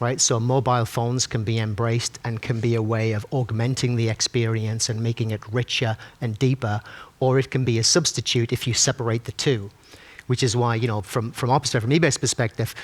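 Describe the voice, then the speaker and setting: In a Sunderland accent, a man of medium pitch talks at a fairly quick pace with monotone, flat intonation, recorded with a dry, close sound and no echo. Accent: Sunderland (Mackem). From northern England, Sunderland. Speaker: tech company executive, panelist. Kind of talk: panel discussion. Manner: halting, many fillers and restarts.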